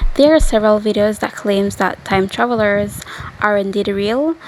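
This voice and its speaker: The speaker goes at a moderate pace over noticeable background noise. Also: woman. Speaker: storyteller. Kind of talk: casual informational narration to camera.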